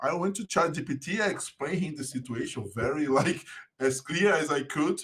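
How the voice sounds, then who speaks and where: At a fairly quick pace, a man with a Portuguese accent speaks with ordinary pitch variation. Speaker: podcast guest, compliance business owner and musician. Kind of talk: casual chat.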